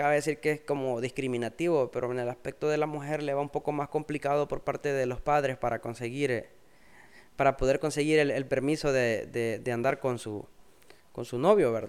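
A man's fairly high-pitched, ordinary speaking voice at a moderate pace. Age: 20s. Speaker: podcast co-host. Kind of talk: casual chat.

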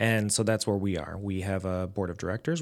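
With an American accent, a man uses a normal speaking voice at a fairly low pitch. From Lorain, Ohio, US Midwest. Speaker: nonprofit executive director. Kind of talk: interview.

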